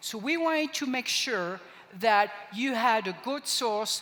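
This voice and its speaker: Speaking at a fairly slow pace, a woman with a French accent has a fairly high pitch and ordinary pitch variation. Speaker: product trainer. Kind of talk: product training presentation.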